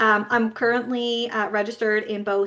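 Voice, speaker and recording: Here a woman talks with a slight Newfoundland accent. Her voice is fairly high. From Newfoundland, Canada. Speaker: business coach for therapists. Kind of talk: webinar presentation.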